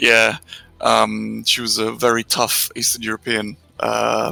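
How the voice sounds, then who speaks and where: With an English accent, a man speaks at a fairly slow pace over background music, the sound dry and close with no echo. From England (Romanian-born, moved at seven). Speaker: concept artist. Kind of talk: casual interview. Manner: halting, many fillers.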